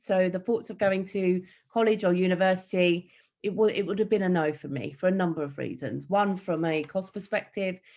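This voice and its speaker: A woman speaks with an East London accent at a fairly quick pace. Her pitch sits in the medium range and varies in an ordinary way. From East London, Hackney. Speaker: motivational speaker and entrepreneur. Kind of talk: keynote talk. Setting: online event.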